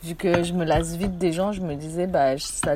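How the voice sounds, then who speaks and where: Noticeable background noise sits behind this speaker. She is a woman with a fairly low pitch. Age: 20s. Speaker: theatre company worker. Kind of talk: casual chat.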